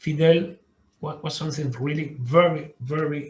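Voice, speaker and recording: A man with a fairly high pitch talks very slowly. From Cuba. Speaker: diplomat. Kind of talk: interview. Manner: halting, many repetitions.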